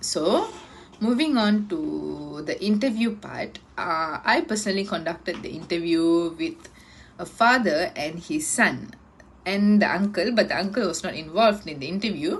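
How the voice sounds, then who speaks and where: A woman with a Tamil accent speaks in a medium pitch, her voice somewhat breathy and her intonation lively. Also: moderate pace. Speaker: university student. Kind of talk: class presentation. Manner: halting.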